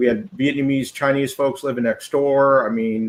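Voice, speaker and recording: Ordinary pitch variation and a moderate pace in a man's unremarkable speaking voice. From US West Coast (Southern California, Goleta). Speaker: former church member. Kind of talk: casual chat.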